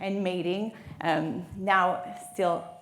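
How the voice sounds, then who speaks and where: A woman speaks over noticeable background noise, and the room echo is audible. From Quebec, Canada. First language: French. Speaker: marine biologist. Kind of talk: lecture.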